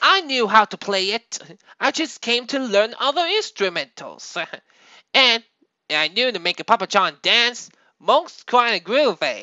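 A cartoonish character voice, female-sounding and fairly high, at a moderate pace. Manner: proud, groovy.

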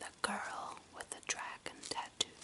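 A soft-spoken woman whispers. Her pace is fairly slow. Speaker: video creator. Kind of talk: soft-spoken listing of favorite films, casual. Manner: soft close-mic whisper. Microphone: phone near.

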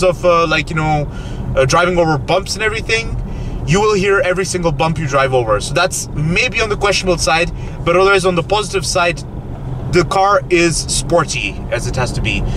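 Noticeable background noise sits behind a man speaking at a moderate pace with ordinary pitch variation, the sound dry with no echo. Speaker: car reviewer. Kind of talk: casual review commentary. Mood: playful, upbeat. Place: car. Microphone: camera far.

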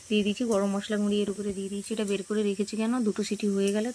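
A woman's medium-pitched voice with a dark, mellow tone and monotone, flat intonation. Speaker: lifestyle vlogger. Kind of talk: vlog narration. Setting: sitting in bed recording voiceover.

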